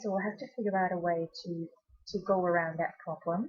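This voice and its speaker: A woman with a Belgian accent speaks at medium pitch in a somewhat breathy voice. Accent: Belgian accent, noticeable. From Belgium. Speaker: essential oils presenter. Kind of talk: webinar presentation. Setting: online webinar. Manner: hesitant, many fillers.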